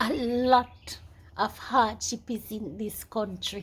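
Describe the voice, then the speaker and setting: In a fairly high voice with vocal fry, a woman talks at a very slow pace. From Jamaica. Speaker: YouTuber. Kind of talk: casual monologue vlog.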